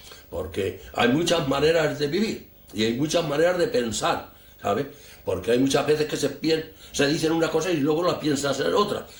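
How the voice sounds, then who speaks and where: There is noticeable background noise as a man speaks at a moderate pace with ordinary pitch variation. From Spain. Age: 80s+. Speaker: war veteran. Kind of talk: interview testimony. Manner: halting, repetitive.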